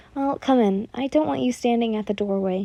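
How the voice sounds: A natural reading voice, with ordinary pitch variation.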